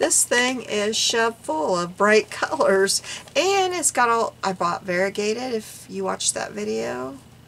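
A woman talks at a fairly slow pace with very wide pitch swings. Light background noise sits behind her. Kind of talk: casual vlog chat. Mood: amused, self-deprecating. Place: home room.

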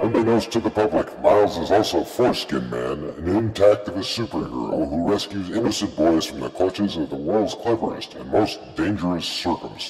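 Over clear music in the background, a man with a very deep, low voice talks at a fairly quick pace with lively intonation and hardly any pauses. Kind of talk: comic-book narration, mock dramatic. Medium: read story.

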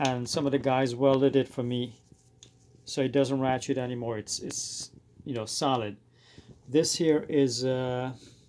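A fairly slow pace with long, frequent pauses and light background noise. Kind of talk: tutorial. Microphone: phone near.

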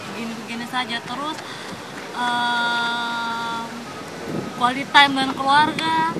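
Over loud background noise, a woman's voice comes through with a dry sound and no echo. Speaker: interviewee. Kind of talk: interview answer. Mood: cheerful, relaxed. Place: market.

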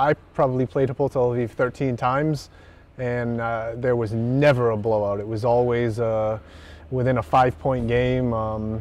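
This man speaks at a moderate pace with fairly even intonation, and the sound is dry with no echo. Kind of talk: interview answer. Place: stadium. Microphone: lapel.

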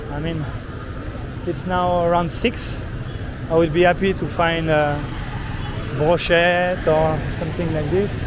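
A man speaks with fairly even intonation and long, frequent pauses. The sound is dry with no echo, and background noise is noticeable. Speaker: travel vlogger. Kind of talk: casual vlog chat. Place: market. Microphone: phone near.

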